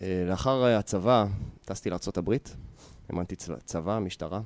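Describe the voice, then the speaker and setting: Lively intonation in a dry, close sound with no echo, on a very clean recording with a silent background. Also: man. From Israel, Yehud. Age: 30s. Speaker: fitness entrepreneur and martial arts coach. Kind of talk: interview.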